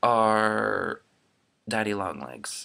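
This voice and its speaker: The man's voice sits at a fairly low pitch with a bright, sharp tone and an American accent. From Florida. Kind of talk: casual talk to camera. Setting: laptop webcam recording.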